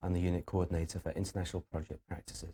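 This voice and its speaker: A man's dark, mellow voice with a British accent, somewhat breathy, in a dry, close recording with no echo. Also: very clean recording, silent background. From UK. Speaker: university lecturer. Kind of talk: lecture. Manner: halting, many fillers.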